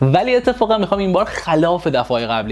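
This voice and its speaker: Noticeable noise sits in the background. The talking is fairly quick. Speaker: film critic YouTuber. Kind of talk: film review monologue. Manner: quiet, low volume; casual, conversational.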